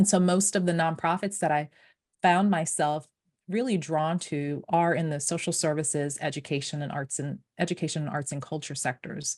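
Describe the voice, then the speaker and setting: Against a quiet background, a woman with a very deep, low pitch talks at a moderate pace with ordinary pitch variation. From Haiti, moved to US at five. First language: French. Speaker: nonprofit founder and fundraiser. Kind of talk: podcast interview. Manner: halting, many fillers and restarts.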